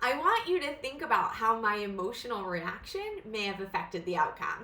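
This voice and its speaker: Amid audible room echo and noticeable background noise, a woman with a fairly high pitch and very wide pitch swings talks at a moderate pace. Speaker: counselor and coach. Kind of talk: tutorial. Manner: casual, conversational.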